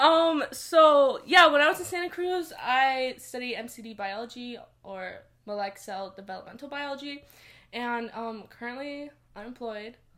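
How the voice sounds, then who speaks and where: Noticeable background noise surrounds a woman's raised, projected voice. Her pitch is high and her intonation lively. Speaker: clothing brand co-founder. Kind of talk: casual interview.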